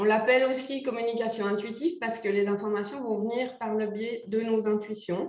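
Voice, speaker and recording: A woman's fairly high-pitched, ordinary speaking voice at a moderate pace, with ordinary pitch variation and hardly any pauses. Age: 40s. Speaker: animal communicator. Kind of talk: interview.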